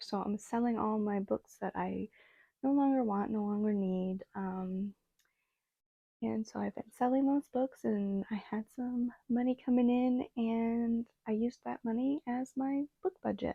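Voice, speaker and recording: Soft-spoken and mumbling, a woman talks at a fairly slow pace with a fairly high pitch and ordinary pitch variation. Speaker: booktuber. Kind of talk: casual vlog chat. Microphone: small clip-on microphone, described as bad idea.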